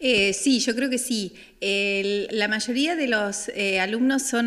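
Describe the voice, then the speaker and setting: Over a quiet background, a woman with a fairly high pitch and ordinary pitch variation speaks at a fairly slow pace. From Argentina, Santa Fe province (Franck). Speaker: German language teacher. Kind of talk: interview. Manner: hesitant, with many fillers. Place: hall.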